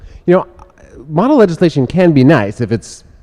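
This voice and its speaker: Speaking with lively intonation at a very fast pace, a man has a dark, mellow tone. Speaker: radio host. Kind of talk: live radio show with guest. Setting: live broadcast at an event. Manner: theatrical narration voice.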